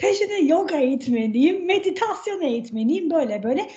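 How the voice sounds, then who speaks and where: A woman with a high pitch and a dark, mellow tone speaks at a fairly slow pace, her pitch swinging very widely. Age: 40s. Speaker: health coach and cookbook author. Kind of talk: podcast interview.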